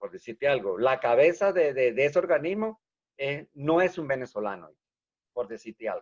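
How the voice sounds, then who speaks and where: The man's fairly high voice moves in very wide pitch swings at a moderate pace, recorded dry and close with no echo. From Venezuela, rural village. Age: 60s. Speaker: engineer. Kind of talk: interview. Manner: animated.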